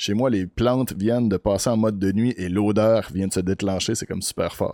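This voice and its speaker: With a Quebec accent, a man with a fairly low pitch and a dark, mellow tone speaks with ordinary pitch variation, in a dry, close sound with no echo and a very clean recording with a silent background. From Beauce, Quebec. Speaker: podcast host. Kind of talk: interview.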